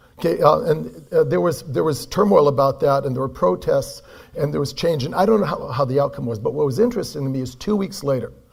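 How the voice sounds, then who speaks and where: Speaking at a very fast pace with hardly any pauses, a man with an American accent comes through audible room echo and noticeable background noise. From California, US. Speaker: performance coach. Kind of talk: conference keynote talk.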